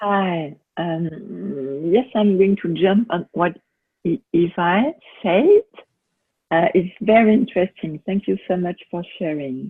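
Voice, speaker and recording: A woman with a French accent speaks at a very slow pace and medium pitch with ordinary pitch variation. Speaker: workshop participant. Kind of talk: question on group call. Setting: video call. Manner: halting.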